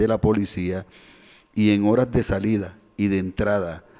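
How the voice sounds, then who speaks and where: Against a quiet background, a man with a dark, mellow tone and fairly low pitch talks at a very slow pace. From Colombia, Córdoba (Caribbean coast). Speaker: radio co-host, professor; radio talk show commentator. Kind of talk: news and opinion radio show. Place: studio. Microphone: studio mic.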